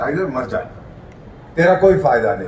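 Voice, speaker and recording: A man speaks at a high pitch. Noticeable background noise and audible room echo surround him. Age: 70s. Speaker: former diplomat. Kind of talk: keynote speech. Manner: animated.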